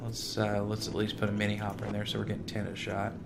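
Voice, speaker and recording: There is audible room echo. Noticeable background noise is also present. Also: man. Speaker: gaming video creator. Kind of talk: let's play gameplay commentary. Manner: animated.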